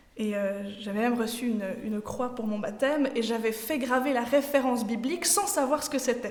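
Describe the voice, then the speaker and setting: With a slight Swiss French accent, the speaker talks at a moderate pace with ordinary pitch variation, amid noticeable background noise and audible room echo. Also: woman. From Switzerland. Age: 20s. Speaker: trainee pastor. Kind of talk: sermon. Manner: halting, many fillers.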